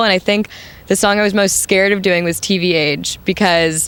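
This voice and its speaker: A woman is speaking. Her voice has vocal fry. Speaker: punk band singer. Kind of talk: interview. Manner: casual, many fillers.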